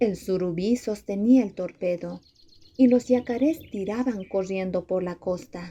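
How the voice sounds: Pitch variation stays ordinary. The voice is a natural reading voice.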